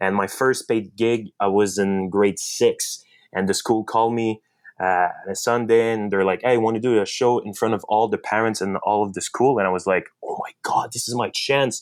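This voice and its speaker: A man speaks with a strong French Canadian accent at a moderate pace and medium pitch. The recording is very clean, with a silent background. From Quebec, French Canada. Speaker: magician and content creator. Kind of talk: podcast interview. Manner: halting, many fillers and restarts.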